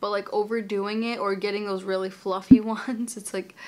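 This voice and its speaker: A woman speaks at a fairly quick pace. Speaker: lifestyle vlogger. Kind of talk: casual vlog chat. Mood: opinionated, lightly amused. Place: home room. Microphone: camera far.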